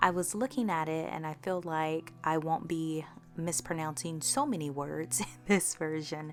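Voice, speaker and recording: Background music, ordinary pitch variation and a moderate pace. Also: woman, very deep, low pitch for a woman. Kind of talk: casual talk to camera.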